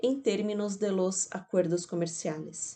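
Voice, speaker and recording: At a fairly slow pace, the voice has a dark, mellow tone in a Portuguese accent. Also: woman. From Brazil. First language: Portuguese (speaking Spanish). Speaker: academic speaker. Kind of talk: conference talk. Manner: slow, careful.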